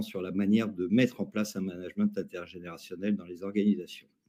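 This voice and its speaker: A dark, mellow tone at a fairly quick pace. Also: man. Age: 60s. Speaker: academic and labour market expert. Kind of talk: webinar panel discussion. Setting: online webinar.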